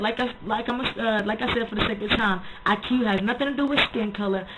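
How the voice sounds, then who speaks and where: Talking at a very fast pace, a woman with a fairly high pitch keeps her intonation fairly even while noticeable background noise runs underneath. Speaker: video blogger. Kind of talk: casual vlog monologue.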